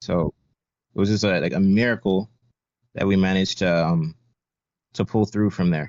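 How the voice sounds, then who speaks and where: In a dry, close sound with no echo, a man with a very deep, low pitch speaks at a moderate pace and very even loudness, with fairly even intonation and long, frequent pauses. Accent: slight American. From United States. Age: 20s. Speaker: Navy veteran, podcast guest. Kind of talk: interview. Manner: many fillers and repetitions.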